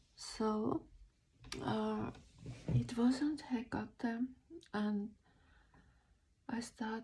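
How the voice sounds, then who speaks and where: Somewhat breathy and with a non-native accent, a woman speaks at a fairly high pitch with a dark, mellow tone and fairly even intonation. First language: not English. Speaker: spiritual vlogger. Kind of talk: casual monologue. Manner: halting, many fillers.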